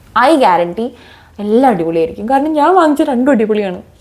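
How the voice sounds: With lively intonation, a woman talks fast at a medium pitch.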